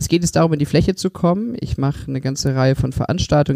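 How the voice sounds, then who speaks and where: A dark, mellow tone marks this man's voice, heard with a dry, close sound and no echo. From Germany, Stuttgart (Swabia). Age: 30s. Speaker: mayor and mayoral candidate. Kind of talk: interview.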